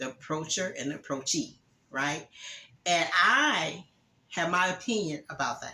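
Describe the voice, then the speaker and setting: At a fairly slow pace, a woman with a fairly low pitch uses lively intonation and takes long, frequent pauses. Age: 60s. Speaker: YouTuber giving relationship advice. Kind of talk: casual monologue to camera. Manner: hesitant, many fillers.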